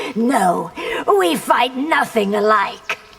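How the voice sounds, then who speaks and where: A woman puts on a cartoonish character voice, fairly high in pitch with lively intonation. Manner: imperious.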